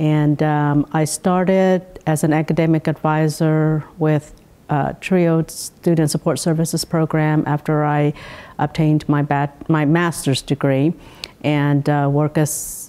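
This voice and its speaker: At a fairly slow pace, a woman speaks in a very deep, low pitch with a dark, mellow tone and monotone, flat intonation. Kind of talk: interview answer. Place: hall. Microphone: lapel.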